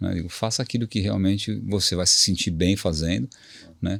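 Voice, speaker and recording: A man is speaking. His pace is fairly quick, with ordinary pitch variation. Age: 60s. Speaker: HR director. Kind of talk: interview. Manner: hesitant, repeats words.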